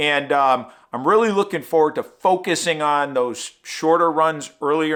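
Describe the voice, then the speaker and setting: A man with a fairly high pitch and a bright, sharp tone speaks fairly slowly with ordinary pitch variation. The recording is very clean, with a silent background. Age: 60s. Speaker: running vlogger. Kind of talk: casual vlog talk to camera. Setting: home studio.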